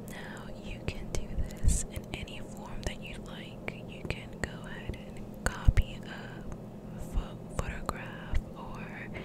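A woman whispering at a very slow pace, with big swings in loudness over noticeable background noise. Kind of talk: ASMR art tutorial. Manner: whispered.

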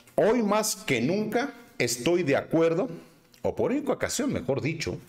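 A sing-song man in a Guadalajara accent, fairly high in pitch, very wide pitch swings, moderate pace. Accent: Mexican, Guadalajara sing-song.

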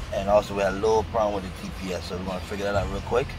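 A man speaks with clear music playing behind him. The sound is dry, with no echo. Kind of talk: casual vlog chat. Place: workshop. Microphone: phone near.

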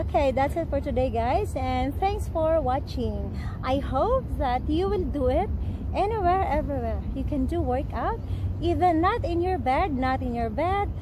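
Noticeable background noise accompanies a woman speaking at a moderate pace in a dry sound with no echo. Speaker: fitness vlogger. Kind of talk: casual vlog chat. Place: garden.

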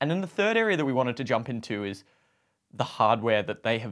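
Against a quiet background, a man talks. His pace is fairly quick. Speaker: podcast co-host. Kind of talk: podcast discussion. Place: home room.

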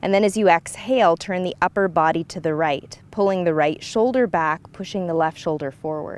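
The woman's voice is fairly low in pitch with ordinary variation. She keeps a moderate pace, and the sound is dry with no echo. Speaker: yoga instructor. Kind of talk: guided yoga instruction. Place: open country.

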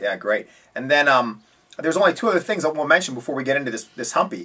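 Very fast and lively in intonation, a man talks at a fairly high pitch. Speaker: fly tying instructor. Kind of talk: tutorial host interview. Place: home room. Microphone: camera far.

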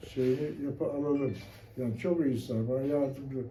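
The man's voice has a dark, mellow tone. He moves at a moderate pace. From rural Mengen area, Bolu province, Turkey. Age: 80s+. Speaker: retired private cook. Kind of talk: interview answer.

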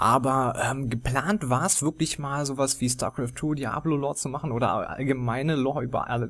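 Using a normal speaking voice, a man talks at a moderate pace with fairly even intonation and medium pitch. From Germany. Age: 20s. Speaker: gaming YouTuber. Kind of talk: casual Q&A monologue.

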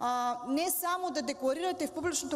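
Speech moves neither fast nor slow. The pitch rises and falls as much as usual. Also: woman. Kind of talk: parliamentary speech. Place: hall. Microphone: podium.

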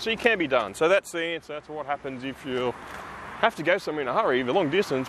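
Over light background noise, a man speaks very fast with lively intonation, the sound dry with no echo. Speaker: EV owner vlogger. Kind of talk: casual vlog chat. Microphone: phone near.

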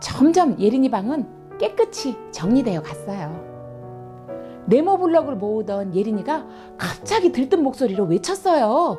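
Over music in the background, a woman talks at a fairly slow pace. Her fairly high voice makes very wide pitch swings. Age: old. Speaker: children's storyteller. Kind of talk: read story for children. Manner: gentle, friendly.

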